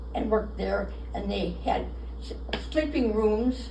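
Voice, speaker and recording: With an American accent, a woman speaks at a very slow pace amid audible room echo and noticeable background noise. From Minnesota (Fridley). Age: 90s. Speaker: local history interviewee. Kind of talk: oral history interview. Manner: halting, repeats words.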